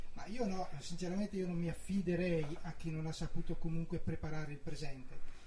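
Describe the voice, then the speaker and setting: A man with a high pitch talks at a fairly quick pace and fairly even intonation. Noticeable background noise and audible room echo are present. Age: 50s. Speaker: nurse and regional councillor, mayoral candidate. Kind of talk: election debate. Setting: radio studio.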